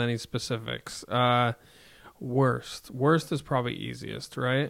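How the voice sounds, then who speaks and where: The speaker is a man with an American accent. He talks at a very slow pace. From Hudson Valley, New York. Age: 40s. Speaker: comedian. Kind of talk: casual chat.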